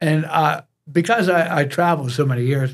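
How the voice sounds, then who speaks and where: A man with an American accent talks in a fairly high pitch and sounds somewhat breathy. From US. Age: 70s. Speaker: fitness coach. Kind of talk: interview.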